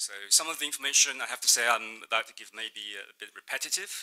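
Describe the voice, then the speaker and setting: The tone is bright and sharp, and the pace is fairly quick. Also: man. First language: Mandarin. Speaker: state trade representative. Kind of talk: conference presentation. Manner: hesitant, many fillers.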